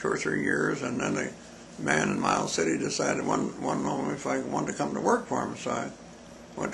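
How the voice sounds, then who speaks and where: Speaking at a moderate pace with an American accent, a man is heard over noticeable background noise and audible room echo. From Montana, US. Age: 90s. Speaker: interviewee recalling his life. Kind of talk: oral history interview. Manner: halting.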